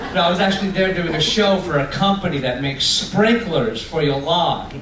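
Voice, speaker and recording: A man's voice with an American accent and ordinary pitch variation, amid noticeable background noise and audible room echo. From Long Island, New York. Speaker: comedian. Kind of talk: stand-up. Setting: stage with audience on a cruise ship. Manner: fast.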